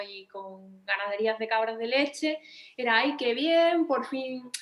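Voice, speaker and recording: A woman speaks with an Andalusian accent and ordinary pitch variation. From Andalusia, Spain. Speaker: veterinarian and writer. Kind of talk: panel discussion. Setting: auditorium with audience. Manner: hesitant, with many repetitions.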